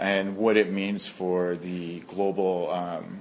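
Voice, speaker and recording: A man talks in a fairly low pitch with monotone, flat intonation. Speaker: astrologer. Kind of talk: interview. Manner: fast.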